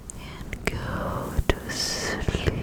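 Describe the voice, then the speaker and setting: Someone whispers over noticeable background noise. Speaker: ASMR artist. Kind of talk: ASMR sleep whispering. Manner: whispered, soft.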